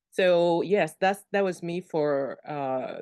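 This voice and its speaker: A woman talks with a French accent in a fairly low voice. Behind her the background is quiet. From Cameroon. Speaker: virtual assistant, military spouse. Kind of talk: interview.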